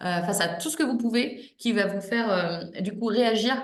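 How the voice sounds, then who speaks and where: A woman speaks in a fairly high pitch. Audible room echo and noticeable background noise surround her voice. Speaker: exam prep coach. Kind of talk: online class wrap-up. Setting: video call. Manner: smiling, warm; halting, many repetitions.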